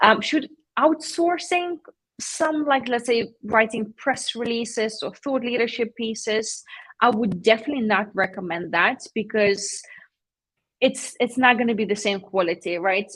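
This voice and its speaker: Talking at a moderate pace, a woman with a non-native accent uses a fairly high pitch and lively intonation. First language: not English. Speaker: PR agency founder. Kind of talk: live-streamed panel interview. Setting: live stream.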